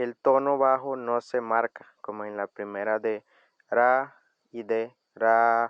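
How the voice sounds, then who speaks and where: A man with a Costa Rican accent speaks at a very slow pace in a monotone, flat intonation. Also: medium pitch for a man. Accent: Coroma Bribri. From Costa Rica, Coroma (Bribri territory). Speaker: language and culture video host. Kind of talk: tutorial.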